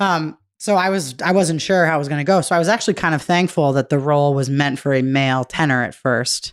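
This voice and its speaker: With an American accent and a very deep, low pitch, a woman speaks at a very fast pace with hardly any pauses in a very clean recording with a silent background. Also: ordinary pitch variation. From Massachusetts, US. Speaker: music educator and actor. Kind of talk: casual chat.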